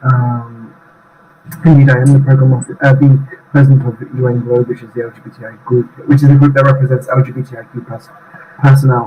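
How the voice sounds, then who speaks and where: Over noticeable background noise, a man talks at a fairly quick pace in a monotone, flat intonation. His loudness swings widely. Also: medium pitch for a man. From UK. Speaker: UN staff association president. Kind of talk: interview conversation. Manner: halting, many fillers.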